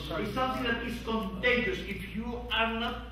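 Light background noise and audible room echo surround speech delivered at a moderate pace. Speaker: conference panel moderator. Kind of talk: panel discussion. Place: meeting room. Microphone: camera far.

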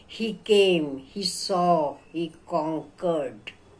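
Spoken in an Indian accent, the words come at a very slow pace with ordinary pitch variation. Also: woman. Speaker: English teacher. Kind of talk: lecture. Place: home room. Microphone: phone near.

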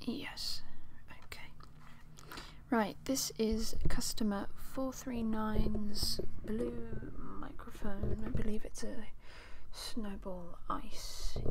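A man whispering quietly at a very slow pace, with long, frequent pauses over loud background noise. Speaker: ASMR creator. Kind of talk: ASMR roleplay, whispered close-mic talk. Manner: quiet, close-mic, whispery. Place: home room. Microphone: studio mic.

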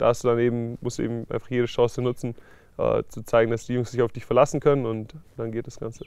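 Over a quiet background, a man talks at a very fast pace in a dry sound with no echo. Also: big swings in loudness. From Stuttgart, Germany. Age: 20s. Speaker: American football player. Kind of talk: interview answer. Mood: calm, thoughtful. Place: garden.

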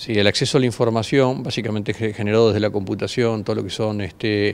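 A man talks at a medium pitch. His pitch varies in an ordinary way. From Argentina. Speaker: agribusiness company founder. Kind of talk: interview. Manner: halting, repeats words. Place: hall. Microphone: handheld.

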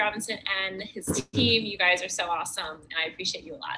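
A woman at a very fast pace, over light background noise. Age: 20s. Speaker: patient. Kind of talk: testimony. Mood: warm, grateful. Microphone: webcam.

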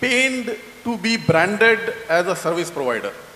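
A raised, projected voice with lively intonation and audible room echo. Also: man. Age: 30s. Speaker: audience member. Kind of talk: audience question. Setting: stage with audience. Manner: halting. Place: hall.

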